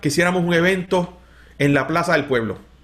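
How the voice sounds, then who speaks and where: This man has a high pitch and an animated tone, talking at a moderate pace. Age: 50s. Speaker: pastor. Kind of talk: interview conversation.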